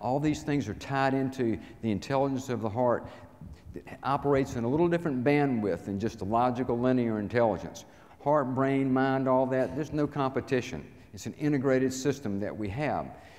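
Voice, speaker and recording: A man talks with a Southern US accent at a fairly quick pace. His pitch is medium, with ordinary variation. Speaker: inspirational speaker. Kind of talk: talk to live audience. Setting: stage with audience.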